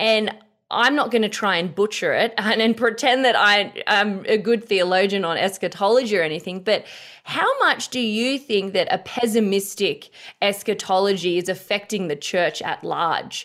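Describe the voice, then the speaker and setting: Speaking with an Australian accent, a woman talks at medium pitch and a moderate pace with ordinary pitch variation. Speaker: podcast host. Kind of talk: interview conversation. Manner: hesitant, many fillers.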